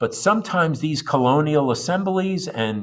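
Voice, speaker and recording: Against a quiet background, a man speaks in a plain, everyday voice. His pace is fairly slow and his intonation lively. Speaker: high school history teacher. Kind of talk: recorded lecture notes for students. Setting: recorded video lesson for asynchronous class.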